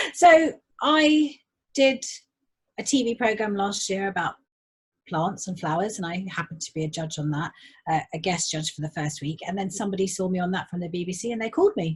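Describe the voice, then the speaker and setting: The somewhat breathy voice swings very widely in pitch and moves at a fairly quick pace, with long, frequent pauses, on a very clean recording with a silent background. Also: woman. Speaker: garden designer and tutor. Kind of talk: casual chat. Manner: fast when excited.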